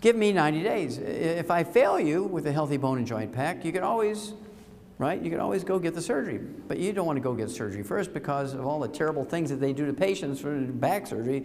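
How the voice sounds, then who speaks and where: Very fast speech with lively intonation, audible room echo and noticeable background noise. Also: man, fairly high pitch for a man. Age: 70s. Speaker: health lecturer. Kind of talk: lecture. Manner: animated.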